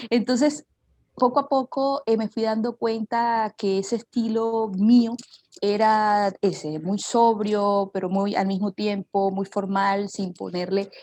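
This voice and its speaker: A woman speaks at a medium pitch with a dark, mellow tone and fairly even intonation. Her pace is very slow, and the sound is dry and close with no echo. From Colombian Caribbean coast, Barranquilla. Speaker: journalist. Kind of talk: interview. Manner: hesitant, many fillers.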